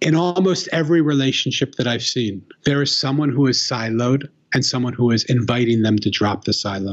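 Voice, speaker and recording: A man's plain, everyday voice, medium in pitch, at a fairly quick pace with ordinary pitch variation. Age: 60s. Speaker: author and human connection expert. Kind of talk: interview conversation.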